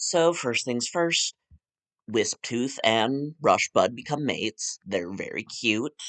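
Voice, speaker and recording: With a quiet background, a man speaks very slowly with lively intonation. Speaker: digital artist and content creator. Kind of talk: casual commentary over speedpaint. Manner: casual with many fillers.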